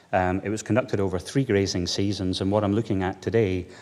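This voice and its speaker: A man talks at a fairly low pitch in a Scottish accent. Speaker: veterinarian. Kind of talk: conference talk. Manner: hesitant, many fillers.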